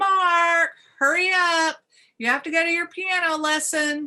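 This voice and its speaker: A woman's put-on character voice, extremely high in pitch, raised and projected, shouting at a fairly slow pace. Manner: screaming, urgent.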